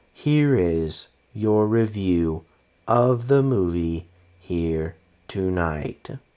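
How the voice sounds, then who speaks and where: The male speaker adopts a put-on character voice. He drags his words out extremely slowly. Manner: mechanical.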